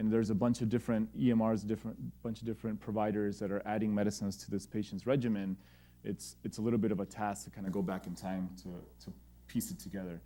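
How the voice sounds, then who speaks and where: Speaking very fast with an American accent, a man has a dark, mellow, fairly low voice with ordinary pitch variation. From Texas, El Paso. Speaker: pediatric gastroenterologist and entrepreneur. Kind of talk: lecture. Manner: informal, halting with fillers.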